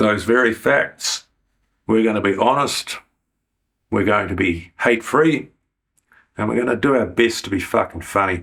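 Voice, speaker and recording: A man with a New Zealand accent, medium in pitch, at a moderate pace with ordinary pitch variation and long, frequent pauses. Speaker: YouTuber. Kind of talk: interview.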